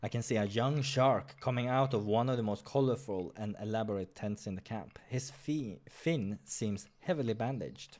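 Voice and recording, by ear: A man's fairly low, slightly mellow voice at a moderate pace, with ordinary pitch variation and few pauses.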